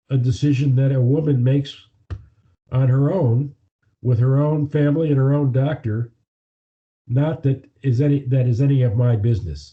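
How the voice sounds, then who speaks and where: Somewhat breathy at a medium pitch, a man keeps a moderate pace, fairly even intonation and very even loudness, with long, frequent pauses. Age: 70s. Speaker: attorney and author. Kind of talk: interview.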